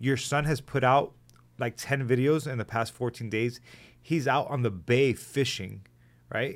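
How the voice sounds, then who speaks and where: With ordinary pitch variation, a man speaks in a normal speaking voice at a fairly slow pace and a medium pitch. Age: 30s. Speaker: podcast host, nurse, army veteran. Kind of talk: casual interview.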